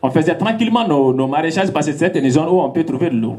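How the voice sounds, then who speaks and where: Fairly high-pitched male speech with noticeable background noise. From Mali. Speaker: farmer and activist. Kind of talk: public talk.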